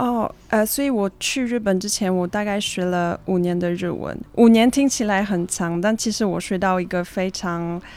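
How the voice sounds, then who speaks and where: A woman speaks in an ordinary speaking voice at medium pitch, with ordinary pitch variation and a moderate pace. She hardly pauses, and the recording is very clean with a silent background. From Switzerland. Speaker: student and traveler sharing her story. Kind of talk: interview.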